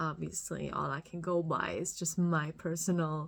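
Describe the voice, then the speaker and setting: Speaking with a German accent, a woman keeps her voice fairly low in pitch. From Germany. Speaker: podcast host. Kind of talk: solo podcast monologue. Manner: halting, many fillers.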